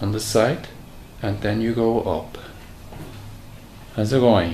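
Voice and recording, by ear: Pitched fairly low, a man speaks slowly in a dark, mellow tone with ordinary pitch variation. Room echo is audible.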